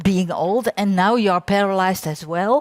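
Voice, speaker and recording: A woman speaks with a Dutch accent. The sound is dry and close, with no echo. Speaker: applied science researcher. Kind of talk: conference talk. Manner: halting.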